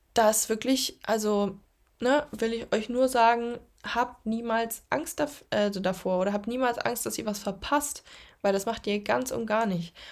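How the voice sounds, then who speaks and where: On a very clean recording with a silent background, a woman speaks at a fairly slow pace. She has an unremarkable speaking voice with ordinary pitch variation. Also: fairly high pitch for a woman. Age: 20s. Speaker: podcast host, social media creator and coach. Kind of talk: solo podcast monologue. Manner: casual, filler-heavy.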